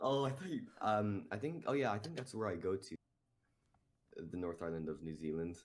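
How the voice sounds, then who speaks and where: Speaking fairly quickly with an Irish accent, a man with a fairly low voice swings his pitch very widely and leaves long, frequent pauses. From Ireland. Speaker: cartoon creator. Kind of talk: casual chat. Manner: halting.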